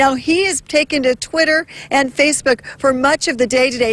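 Speaking at a fairly quick pace with fairly even intonation, a woman is heard in a dry sound with no echo. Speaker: TV reporter. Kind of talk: live field report. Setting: outdoors. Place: street. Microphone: handheld.

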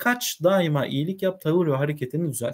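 Quiet background here. A man talks with a fairly high pitch. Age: 30s. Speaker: literature teacher; teacher reading. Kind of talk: reading aloud with commentary. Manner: hesitant, frequent filler sounds. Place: home room.

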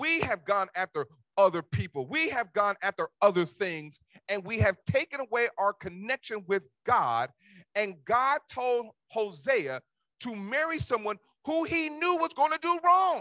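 Against a quiet background with a dry sound and no echo, a man with an American accent speaks in a raised, projected voice, high-pitched with a bright, sharp tone, very wide pitch swings and an animated delivery at a fairly slow pace. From Cincinnati, Ohio. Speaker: pastor. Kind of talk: sermon delivered to a live congregation, with call-and-response. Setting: church with congregation. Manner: animated, exhortatory preaching, rallying the congregation to answer; conversational, informal asides with repetition. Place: church. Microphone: handheld.

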